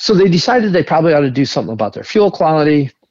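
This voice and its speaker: A man with an Upper Midwest accent and ordinary pitch variation, in a dry, close sound with no echo. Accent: Upper Midwest American. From northern Michigan. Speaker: entrepreneur. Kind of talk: interview.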